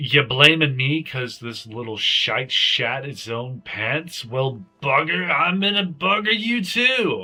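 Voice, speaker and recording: Putting on a character voice, a man projects his fairly high voice with very wide pitch swings at a fairly slow pace, with hardly any pauses and faint music in the background. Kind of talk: crude, coarse speech. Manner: aggressive, threatening.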